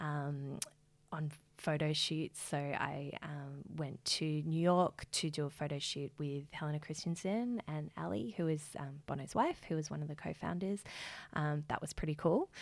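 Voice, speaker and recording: The speaker has an Australian accent and a moderate pace. Pitch varies in an ordinary way. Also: woman, very deep, low pitch for a woman. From Australia, Geelong. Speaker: beauty business founder. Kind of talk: interview.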